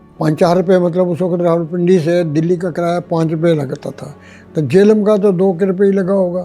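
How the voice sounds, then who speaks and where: Music in the background behind a man's high-pitched voice, moderate pace, fairly even intonation. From Rawalpindi region, Punjab, Pakistan. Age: 80s+. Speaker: Partition survivor. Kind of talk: interview answer.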